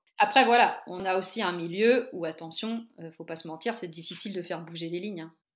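A woman with an ordinary speaking voice talks at a fairly quick pace and medium pitch. Her pitch variation is ordinary, while her loudness swings widely. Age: 40s. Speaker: primary school teacher turned yoga teacher. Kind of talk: interview.

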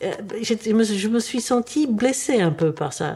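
A woman speaks with a fairly high pitch. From Czechoslovakia (Prague), then Paris. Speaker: retired biologist. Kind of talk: interview, personal story. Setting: studio. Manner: halting, repeats words.

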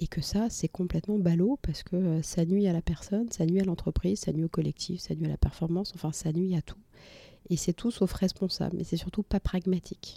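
A woman talks at a fairly quick pace and fairly low pitch, somewhat breathy with a dark, mellow tone. Her intonation is fairly even, and the sound is dry and close with no echo. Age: 30s. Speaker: entrepreneur, cancer survivor. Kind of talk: personal testimony. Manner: halting, many hesitations.

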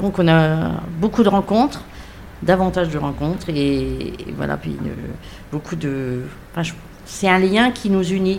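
Noticeable background noise and audible room echo surround a woman who speaks at a fairly slow pace. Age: 60s. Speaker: retiree, association volunteer. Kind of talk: round-table conversation.

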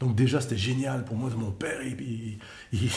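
A somewhat breathy man at medium pitch, with audible room echo. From Quebec, Montreal. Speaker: journalism trainer. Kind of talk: personal testimony.

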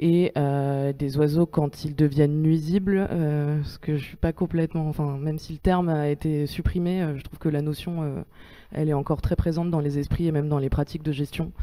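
Against a silent background in a very clean recording, a woman speaks at a moderate pace in a very deep, low, dark and mellow voice with monotone, flat intonation. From Paris, France. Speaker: geography researcher. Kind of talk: panel debate.

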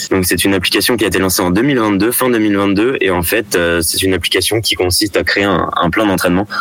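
At a fairly quick pace, a man with a fairly low pitch keeps very even loudness and fairly even intonation over noticeable background noise. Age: 20s. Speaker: product manager at a sports retailer. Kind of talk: radio interview.

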